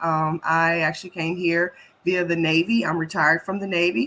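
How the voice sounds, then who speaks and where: With an American accent, the speaker uses an unremarkable speaking voice at a moderate pace. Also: woman. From US South, Memphis, Tennessee. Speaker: health equity expert, Navy veteran. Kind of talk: panel interview.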